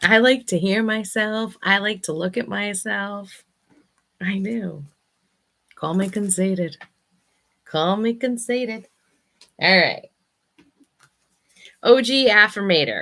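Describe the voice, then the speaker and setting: A loud woman speaks at a very slow pace, with long, frequent pauses. Her tone is bright and sharp, and her pitch sits in the medium range. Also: ordinary pitch variation. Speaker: affirmation card reader / vlogger host. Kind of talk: casual monologue with affirmation card readings.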